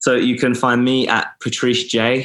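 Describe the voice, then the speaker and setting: Recorded with a dry, close sound and no echo, a man speaks with a southern English accent. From England, Milton Keynes. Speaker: actor and sustainability entrepreneur. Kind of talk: interview conversation.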